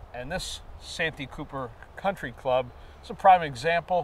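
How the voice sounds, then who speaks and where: A man speaks, somewhat breathy, with lively intonation. There is light background noise, and the sound is dry with no echo. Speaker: golf show host. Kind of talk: interview conversation. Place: open country.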